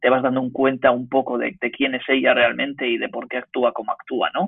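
A man with an unremarkable speaking voice, medium in pitch, talks at a moderate pace with fairly even intonation. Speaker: podcast guest. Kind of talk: casual chat.

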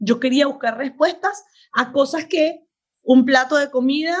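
In a very clean recording with a silent background, a woman talks at a moderate pace with ordinary pitch variation. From Venezuela. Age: 50s. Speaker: doctor and health coach. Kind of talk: interview.

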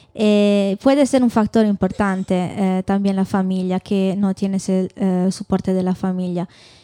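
A woman with an Italian accent speaks at a fairly slow pace with hardly any pauses, her medium-pitched voice dark and mellow and her intonation fairly even, in a very clean recording with a silent background and a dry, close sound without echo. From Italy. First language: Italian (speaking Spanish). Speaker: doctoral researcher. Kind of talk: live panel discussion. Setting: bar with live audience.

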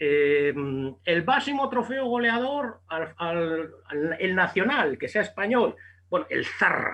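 Speaking very slowly in a raised, projected voice, a man with a high pitch and a bright, sharp tone swings his pitch very widely. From Basque Country, Spain (Bilbao). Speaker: boxing journalist. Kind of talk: casual interview.

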